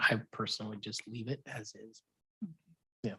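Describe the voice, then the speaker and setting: Speech comes at a moderate pace. The speaker is soft-spoken. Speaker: commission legal advisor. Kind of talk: formal meeting discussion. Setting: public commission meeting.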